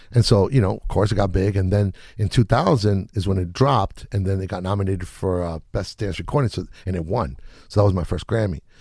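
Over a silent background in a very clean recording, a man talks at a fairly quick pace in a fairly low pitch, somewhat breathy, with a dark, mellow tone and ordinary pitch variation. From Chile. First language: Spanish. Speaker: music producer. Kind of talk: casual interview chat. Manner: relaxed, laid-back slang.

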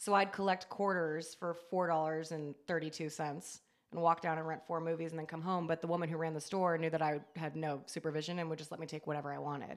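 Her pitch is fairly low, and she speaks with an American accent. The woman's intonation is monotone and flat, with hardly any pauses. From California coast, near San Francisco. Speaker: horror writer and comedian. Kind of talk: casual chat.

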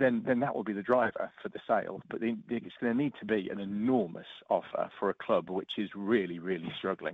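A man with an East Anglian accent talks at a fairly quick pace with hardly any pauses. His medium pitch shows ordinary variation. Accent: English (East Anglia). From Norfolk, England. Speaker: football pundit. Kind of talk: casual chat.

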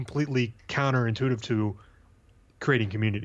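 Speaking at a fairly quick pace with an American accent, a man sounds somewhat breathy, his intonation fairly even against a quiet background. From US Midwest, St. Louis, Missouri. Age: 30s. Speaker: sports card business owner. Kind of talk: casual interview.

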